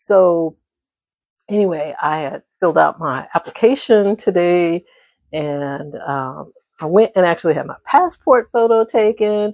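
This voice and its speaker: With lively intonation and big swings in loudness, a woman uses an ordinary speaking voice at a medium pitch, recorded dry and close with no echo over a quiet background. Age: 60s. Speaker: vlogger. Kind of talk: casual chat. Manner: conversational, with frequent fillers.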